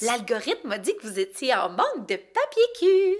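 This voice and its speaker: A female-sounding, put-on character voice, high in pitch, swings very widely in pitch at a moderate pace. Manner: teasing, gleeful.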